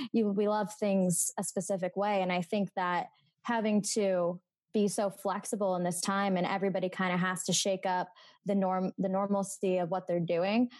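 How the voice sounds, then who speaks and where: A woman's medium-pitched voice with an American accent, moderate pace, monotone, flat intonation and very even loudness, against a quiet background. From Meadville, Pennsylvania. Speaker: graduate student. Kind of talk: casual chat.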